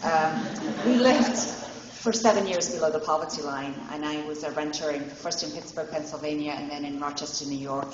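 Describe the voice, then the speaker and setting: Against noticeable background noise and audible room echo, a woman with an English accent speaks at a moderate pace in a very deep, low pitch, her intonation lively. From England. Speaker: city council candidate. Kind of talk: candidate forum speech. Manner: some false starts and self-corrections.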